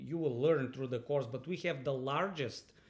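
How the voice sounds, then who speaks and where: A man talks with a Bulgarian accent. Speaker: university lecturer. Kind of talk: online lecture introduction. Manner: halting, many fillers and repetitions.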